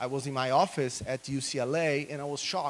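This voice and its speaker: A man with a Brazilian Portuguese accent speaks at a medium pitch. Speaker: political scientist. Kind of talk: conference talk.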